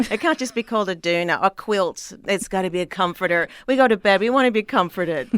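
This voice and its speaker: A woman of medium pitch talks at a very fast pace with lively intonation. The sound is dry and close with no echo, on a very clean recording with a silent background. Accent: Australian. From Australia, Sydney. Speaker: comedian. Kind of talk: casual chat.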